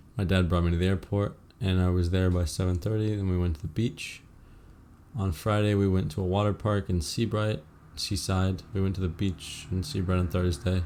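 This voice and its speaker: A man speaks with a very deep, low pitch. His loudness stays very even, and his intonation is fairly even. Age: young. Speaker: podcaster, college student. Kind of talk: casual monologue. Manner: fast; halting.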